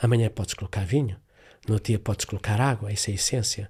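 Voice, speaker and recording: Somewhat breathy, a man speaks with ordinary pitch variation on a very clean recording with a silent background. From Africa, Portuguese-speaking. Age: 70s. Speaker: therapist. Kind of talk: interview.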